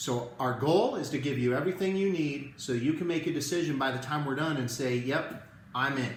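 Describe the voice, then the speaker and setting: A man talks at a fairly quick pace with lively intonation. Room echo is audible and there is noticeable background noise. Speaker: network marketing presenter. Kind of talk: live video sales presentation. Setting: live stream from home. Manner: quiet, holding back volume.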